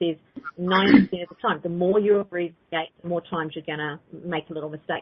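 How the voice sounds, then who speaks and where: A woman with a New Zealand accent, fairly low in pitch, very fast and fairly even in intonation. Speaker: psychic teacher. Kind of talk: live call-in teaching show.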